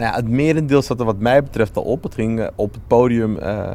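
Over noticeable background noise, a man talks at a fairly slow pace and a fairly low pitch. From Netherlands, Amsterdam Zuidoost. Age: 20s. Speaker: lawyer and local politician. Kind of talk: interview. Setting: on location in community building.

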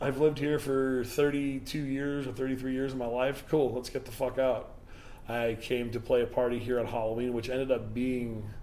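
This man has a Chicago accent and a medium pitch. He talks at a moderate pace in a flat monotone. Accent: Chicago American. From Chicago, US Midwest. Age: 40s. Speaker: house music DJ and producer. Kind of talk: casual chat.

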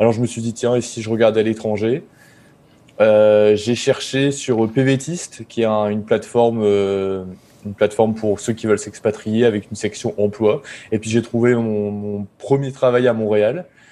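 Here a man talks at a medium pitch with a dark, mellow tone. His pace is fairly slow and his intonation fairly even. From northern France, Pas-de-Calais (Boulogne-sur-Mer). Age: 30s. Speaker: software developer and startup cofounder. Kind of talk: podcast interview. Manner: hesitant, many fillers.

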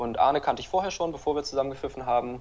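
A man's voice at a medium pitch. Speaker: handball referee and former player. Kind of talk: interview.

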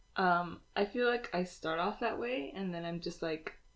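Speaking at a moderate pace, a woman with an unremarkable speaking voice has a fairly low pitch and ordinary pitch variation. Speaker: podcast co-host. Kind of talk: casual chat.

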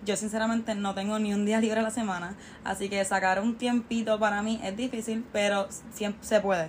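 A woman speaks at a fairly high pitch and a fairly quick pace in a somewhat breathy voice. Her intonation is monotone and flat. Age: 20s. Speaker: university student and small business owner. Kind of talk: interview.

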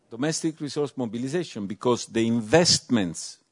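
A normal speaking voice with lively intonation comes across against a quiet background. The sound is dry and close, with no echo. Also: man. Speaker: European Commission official. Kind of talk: panel discussion.

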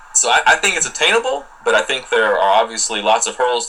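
Noticeable background noise runs behind this recording. A man speaks with an American accent. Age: 30s. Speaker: early retiree blogger. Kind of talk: interview. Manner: halting, many repeated words.

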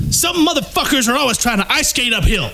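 In a put-on character voice that is gruff and extremely high for a man, a man rattles along at a very fast pace against noticeable background noise. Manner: exaggerated, gruff.

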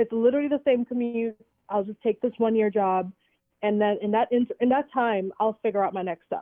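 A woman with an unremarkable speaking voice talks at a fairly quick pace, with a fairly high pitch and ordinary pitch variation. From Trinidad, moved to US at 14-15. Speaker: educator and entrepreneur. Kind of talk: casual interview.

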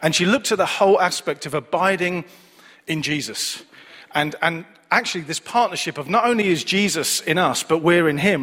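Lively intonation marks this man's speech in a Manchester accent at a moderate pace. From Manchester, England. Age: 40s. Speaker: preacher. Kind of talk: sermon. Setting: church service with congregation.

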